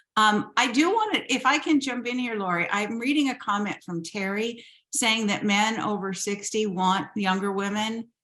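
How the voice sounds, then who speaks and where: Talking with hardly any pauses, a woman with a plain, everyday voice speaks at a fairly high pitch and a moderate pace with ordinary pitch variation. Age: 60s. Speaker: matchmaker. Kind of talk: panel discussion.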